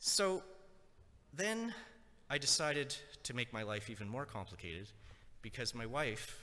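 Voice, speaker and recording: The man's tone is bright and sharp, and he speaks at a fairly slow pace. Room echo is audible. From Nova Scotia, Canada (Acadian, raised in an English city). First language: French (Acadian). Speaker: lecturer. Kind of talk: lecture.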